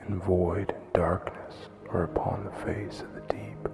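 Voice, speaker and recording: A soft-spoken man with a very deep, low pitch, fairly even intonation and a fairly slow pace, with music in the background. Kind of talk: ASMR bible reading for sleep.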